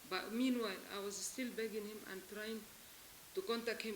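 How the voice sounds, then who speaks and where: A woman talks at a fairly quick pace in a monotone, flat intonation, with noticeable background noise behind her. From Lebanon. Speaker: abandoned wife seeking help. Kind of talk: testimony. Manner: emotional; halting.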